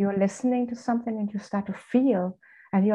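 The speaker talks at a fairly quick pace with a German accent. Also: woman. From Germany. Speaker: spiritual coach. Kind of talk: casual chat.

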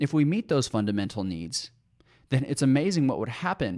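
An ordinary speaking voice from a man at medium pitch, with lively intonation, dry, close sound with no echo, and a very clean recording with a silent background. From USA. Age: 20s. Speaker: podcast host and leadership coach. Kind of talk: solo podcast monologue. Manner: earnest.

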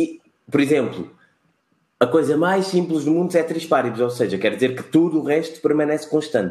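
With a fairly high pitch and vocal fry, a man talks at a moderate pace in a dark, mellow tone, with ordinary pitch variation and long, frequent pauses. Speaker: podcast co-host. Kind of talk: casual chat.

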